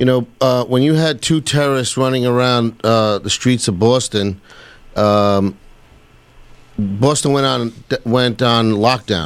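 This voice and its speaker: This man has a New York accent and a medium pitch, speaking at a fairly slow pace with ordinary pitch variation. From New York (Queens). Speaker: 9/11 survivor and victims' family advocate. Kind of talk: radio talk show discussion.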